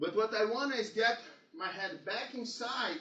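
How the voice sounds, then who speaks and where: An extremely high-pitched man with a Portuguese accent. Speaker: jiu-jitsu instructor. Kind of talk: seminar instruction.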